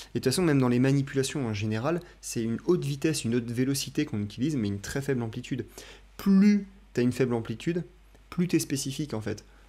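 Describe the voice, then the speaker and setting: A man talks at a very fast pace with lively intonation. His pitch sits in the medium range. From France. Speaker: chiropractor and YouTube reaction host. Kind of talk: casual talk to camera, commentary on video clips. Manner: conversational, relaxed, a little humorous.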